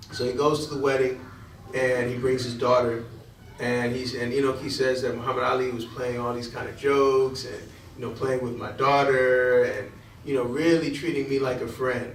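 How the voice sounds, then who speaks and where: Speaking with an American accent, a man talks at a medium pitch and moderate pace with monotone, flat intonation. Noticeable background noise and audible room echo come through. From Connecticut, New Haven. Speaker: imam. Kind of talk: lecture. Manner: halting.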